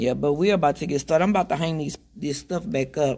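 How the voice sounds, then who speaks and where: The voice sounds somewhat breathy. Its pitch variation is ordinary. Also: woman. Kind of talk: casual vlog chat. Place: shop. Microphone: phone near.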